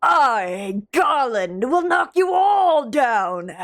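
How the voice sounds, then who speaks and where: In a put-on character voice, a female-sounding speaker goes at a very slow pace with a high pitch and very wide pitch swings. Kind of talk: theatrical voice-acting delivery. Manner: seething, smarmy, menacing.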